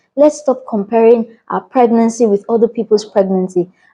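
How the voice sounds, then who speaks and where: Speaking at a moderate pace with a Nigerian accent, this voice has a dark, mellow tone and ordinary pitch variation. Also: woman. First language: a Nigerian language. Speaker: vlogger. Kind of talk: casual vlog talk to camera. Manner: animated.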